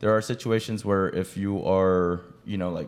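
In an ordinary speaking voice, a man with an American accent talks at a fairly low pitch with ordinary pitch variation. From Los Angeles, California. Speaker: health insurance agent. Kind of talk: casual interview.

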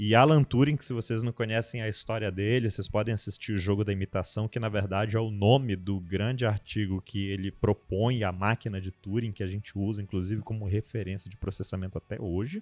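Speaking at a fairly quick pace with hardly any pauses, a man has a plain, everyday voice, fairly low in pitch and fairly even in intonation. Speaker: podcast host. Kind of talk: casual panel discussion.

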